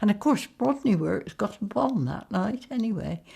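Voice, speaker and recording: A woman's medium-pitched voice, dark and mellow in tone with vocal fry, on a very clean recording with a silent background. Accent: West Country. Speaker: interviewee sharing family wartime memories. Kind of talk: oral history interview.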